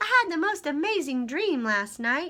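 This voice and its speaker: Putting on a squeaky character voice, a woman speaks at a moderate pace in a high pitch with a cheerful tone and very wide pitch swings. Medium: read story. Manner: cheerful, chatty.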